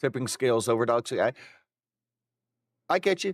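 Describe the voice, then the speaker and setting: A man speaks at a moderate pace with very wide pitch swings, in a very clean recording with a silent background and a dry, close sound with no echo. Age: 40s. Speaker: video game streamer. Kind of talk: live stream chat. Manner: casual, hesitant with fillers.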